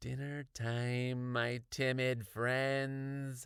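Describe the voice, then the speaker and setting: A man puts on a character voice, raspy and growling at a medium pitch. His intonation is monotone and flat. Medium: read story.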